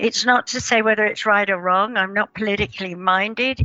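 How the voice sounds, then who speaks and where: Amid noticeable background noise, a woman with an English accent speaks at a moderate pace and fairly high pitch with ordinary pitch variation. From England. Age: 80s+. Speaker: esoteric author and paranormal researcher. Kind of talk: interview, life story. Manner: halting, many fillers.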